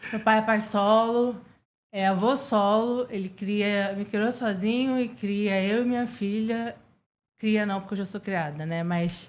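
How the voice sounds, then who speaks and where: A woman speaks at a very slow pace and a fairly high pitch. Her intonation is fairly even. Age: 20s. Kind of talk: interview chat.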